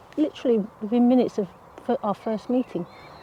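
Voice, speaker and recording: Speaking quietly and at a fairly quick pace, a woman with an English accent talks over noticeable background noise. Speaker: gardening vlogger. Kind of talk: casual vlog monologue. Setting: outdoors at allotment. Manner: quiet, hushed.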